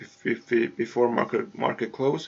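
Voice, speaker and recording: A man talks in a medium pitch. Noticeable background noise can be heard. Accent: non-native. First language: not English. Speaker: forex trader vlogger. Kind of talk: screen-share trading tutorial. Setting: home hallway. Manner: halting, many repetitions.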